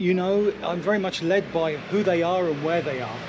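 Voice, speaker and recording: Pitched high for a man, his voice moves at a moderate speed amid noticeable background noise. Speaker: travel photojournalist and presenter. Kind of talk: travel documentary narration and interview. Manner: hushed, keeping quiet.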